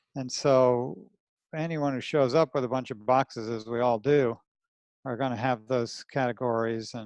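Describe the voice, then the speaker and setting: Speaking in a New Jersey accent, a man talks at a moderate pace and medium pitch with fairly even intonation, the sound dry and close with no echo. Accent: New Jersey American. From New Jersey, US. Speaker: anatomist and dissection teacher. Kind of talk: podcast interview. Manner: casual, rough-spoken.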